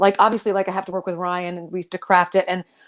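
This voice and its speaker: Here is a woman with a Southern US accent. The recording is very clean, with a silent background. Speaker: stage actor. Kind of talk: panel discussion.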